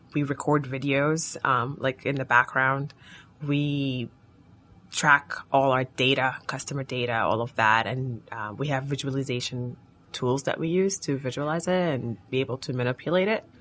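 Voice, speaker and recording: A moderate pace with music in the background. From Sudan. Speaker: startup co-founder. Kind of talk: interview.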